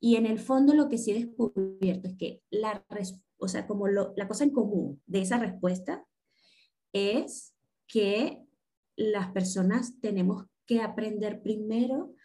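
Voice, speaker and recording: At a fairly slow pace, a woman speaks at medium pitch with ordinary pitch variation, her tone dark and mellow and somewhat breathy. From Venezuela, Caracas. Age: 40s. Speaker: tarot reader and coach. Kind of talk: casual interview.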